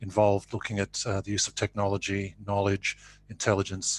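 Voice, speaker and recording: A dry, close recording with no echo carries a voice that is somewhat breathy. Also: man. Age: 60s. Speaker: conference speaker. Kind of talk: panel talk.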